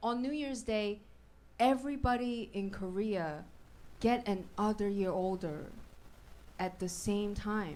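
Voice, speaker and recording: A woman with a Chinese accent, lively intonation, a fairly slow pace, long and frequent pauses, and audible room echo. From China. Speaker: stand-up comedian. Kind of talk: stand-up. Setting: stage with audience.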